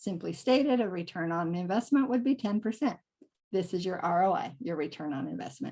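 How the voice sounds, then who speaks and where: A woman's dark, mellow voice at a fairly quick pace, with very wide pitch swings. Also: medium pitch for a woman. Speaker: real estate investor. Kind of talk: webinar presentation. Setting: online webinar. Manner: fast.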